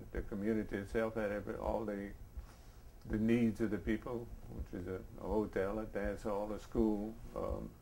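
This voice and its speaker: This man speaks with a south Louisiana accent at a fairly quick pace, his fairly low, dark and mellow voice held in a flat monotone against audible room echo. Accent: south Louisiana Cajun English. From US South, south Louisiana (Vermilion Parish). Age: 70s. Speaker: interviewee, coastal resident. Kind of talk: oral history interview. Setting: at his home. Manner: halting, many false starts.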